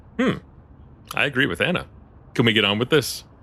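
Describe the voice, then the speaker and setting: This is a man doing a put-on character voice at a medium pitch. He rattles along at a very fast pace. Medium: audio drama. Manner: curt, irritable.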